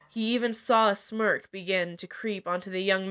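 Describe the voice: This is plain reading aloud, and its intonation stays fairly even.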